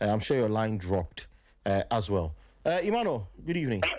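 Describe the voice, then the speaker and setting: The pitch swings very widely in this fairly quick delivery. The speaker has a Ghanaian accent. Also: man. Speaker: radio sports show host. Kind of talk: radio call-in show.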